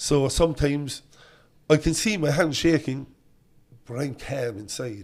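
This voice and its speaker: Speaking fairly slowly with long, frequent pauses, a man with a Cork accent talks in a fairly high pitch. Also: ordinary pitch variation. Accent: Cork Irish. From Ireland, Cork northside (Knocknaheeney). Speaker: politician. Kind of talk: casual chat. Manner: quivering at times.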